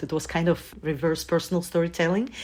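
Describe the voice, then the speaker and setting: A woman with a Russian accent talks at a fairly quick pace in a fairly low voice. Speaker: journalist and journaling guide. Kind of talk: casual interview chat.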